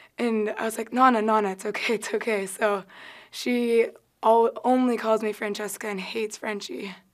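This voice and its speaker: Against a quiet background, a woman talks at a moderate pace. Her fairly high voice stays monotone, with flat intonation. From Southern California, South Orange County; Southern California. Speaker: college volleyball player. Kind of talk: interview. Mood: cheerful, amused. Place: studio.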